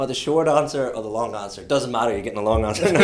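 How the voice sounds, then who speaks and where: In an Irish accent, a man speaks at medium pitch with ordinary pitch variation, and audible room echo surrounds his voice. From Ireland. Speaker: logistics entrepreneur. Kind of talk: casual chat. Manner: fast.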